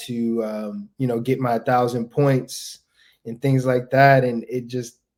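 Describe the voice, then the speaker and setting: This man speaks at a fairly slow pace, his medium-pitched voice keeping a fairly even intonation. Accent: American. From US, Delaware. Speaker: basketball player. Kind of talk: podcast interview.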